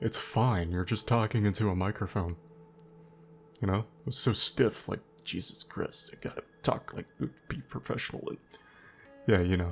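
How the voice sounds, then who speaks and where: A man's fairly low voice at a moderate pace, with ordinary pitch variation and long, frequent pauses. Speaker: gaming YouTuber. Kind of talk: unscripted gameplay commentary. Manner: pauses often.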